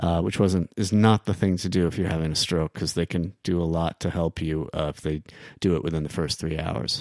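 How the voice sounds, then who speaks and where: A man with an American accent speaks at a fairly quick pace in a very deep, low voice with fairly even intonation. The recording is very clean with a silent background and a dry, close sound with no echo. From New York City (Queens). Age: 50s. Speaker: songwriter and musician. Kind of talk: casual chat.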